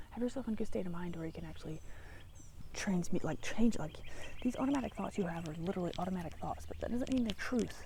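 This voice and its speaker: A woman at medium pitch, with a dark, mellow tone, vocal fry, a very fast pace, and audible room echo. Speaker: spiritual vlogger. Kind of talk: casual vlog monologue. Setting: outdoors by a tree. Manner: rambling, hesitant with fillers.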